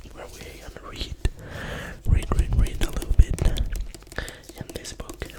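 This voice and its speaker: Whispering at a fairly slow pace with long, frequent pauses, over noticeable background noise. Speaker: ASMR creator. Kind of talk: ASMR intro talk to camera. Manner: whispered, soft-spoken.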